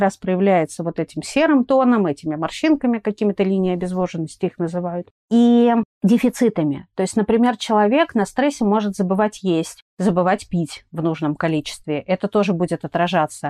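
With a quiet background and a dry, close sound without echo, a woman at medium pitch talks at a moderate pace with lively intonation. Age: 30s. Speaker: dermatologist and cosmetologist. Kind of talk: interview. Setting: remote recording.

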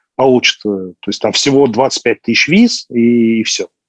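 A man with a plain, everyday voice talks at a fairly slow pace with ordinary pitch variation, the sound dry and close with no echo. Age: 30s. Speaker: pharmaceutical businessman. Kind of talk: casual interview.

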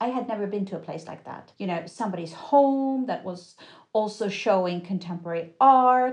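This woman speaks in a Swedish accent with a fairly high pitch. Her pace is moderate and her pitch varies in an ordinary way. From Sweden. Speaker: curator. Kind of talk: interview.

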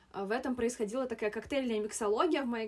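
Her pitch is fairly high for a woman, with ordinary pitch variation. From Moscow, Russia. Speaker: podcast guest, oriental studies graduate. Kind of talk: casual chat.

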